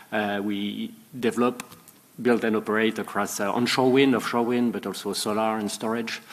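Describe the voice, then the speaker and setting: A man with a French accent, fairly low in pitch, at a fairly quick pace with fairly even intonation. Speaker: renewable energy company CEO. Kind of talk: panel self-introduction.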